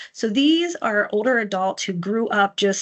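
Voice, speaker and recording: A woman with an unremarkable speaking voice talks at a moderate pace with ordinary pitch variation. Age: 50s. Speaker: mental health nonprofit outreach coordinator. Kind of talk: educational presentation. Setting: livestream fundraiser. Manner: casual, with frequent fillers and self-corrections.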